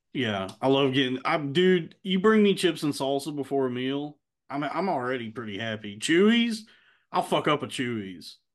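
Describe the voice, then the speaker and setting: Against a quiet background, a man with a Texan accent talks at a moderate pace in a fairly high pitch with very wide pitch swings. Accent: Texan American. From Texas. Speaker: podcast host. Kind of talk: casual chat.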